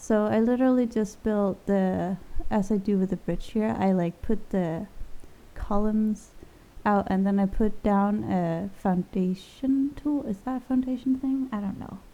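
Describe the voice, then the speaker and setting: A dark, mellow tone with ordinary pitch variation at a fairly slow pace. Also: woman, medium pitch for a woman. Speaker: gaming youtuber. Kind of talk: voiceover commentary on a game build. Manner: rambling with fillers.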